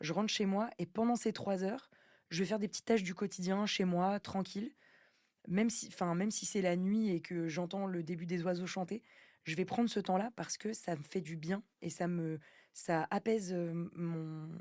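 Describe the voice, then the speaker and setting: A woman speaks at a moderate pace with a dark, mellow tone and a medium pitch. Her intonation stays fairly even, and the recording is very clean with a silent background. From France. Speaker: singer, actress, comedian. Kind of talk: podcast interview answer. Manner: casual, hesitant.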